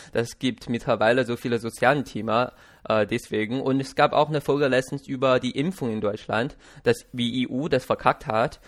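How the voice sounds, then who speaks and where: The speaker, with a Chinese accent, is heard on a very clean recording with a silent background. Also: man, medium pitch for a man, fairly even intonation, moderate pace. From China. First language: Chinese (speaking German). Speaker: podcast host. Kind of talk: casual interview. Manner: halting.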